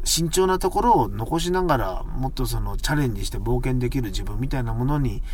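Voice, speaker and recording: In a relaxed tone, the speaker goes at a fairly quick pace with hardly any pauses, amid audible room echo and noticeable background noise. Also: man. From Japan, Ishikawa (Noto, Wajima). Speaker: magician, podcast host. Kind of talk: solo casual monologue. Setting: inside a parked car. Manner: relaxed, rambling with many fillers.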